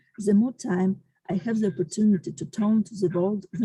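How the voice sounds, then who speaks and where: In a strained, put-on character voice, a woman speaks at a moderate pace with medium pitch and ordinary pitch variation. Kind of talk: formal speech. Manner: emotional, strained.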